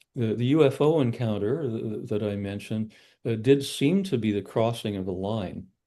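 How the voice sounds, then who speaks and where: A man speaks at a moderate pace with a fairly low, dark and mellow voice. His pitch varies in an ordinary way against a quiet background. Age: 60s. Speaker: psychologist and esoteric researcher. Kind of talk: podcast interview. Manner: halting, many fillers and repeats.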